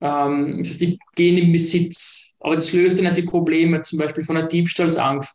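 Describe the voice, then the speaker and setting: A man's high-pitched voice at a moderate pace. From Austria. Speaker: startup founder. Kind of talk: interview.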